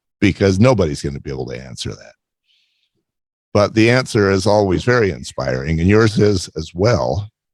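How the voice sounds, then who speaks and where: A man with a very deep, low pitch and vocal fry speaks at a moderate pace, his pitch swinging very widely and his loudness shifting in big swings. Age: 60s. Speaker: podcast host. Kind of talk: interview. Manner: halting.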